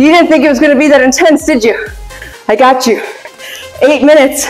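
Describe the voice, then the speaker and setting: Faint music sits in the background. The delivery moves at a fairly quick pace. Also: woman. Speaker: fitness trainer. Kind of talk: casual vlog chat. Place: gym.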